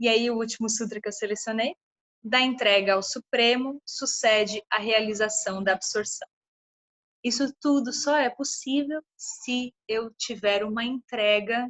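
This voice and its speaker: At a fairly slow pace, a woman uses an ordinary speaking voice with a fairly high pitch and fairly even intonation. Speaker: lecturer on meditation and yoga. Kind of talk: lecture.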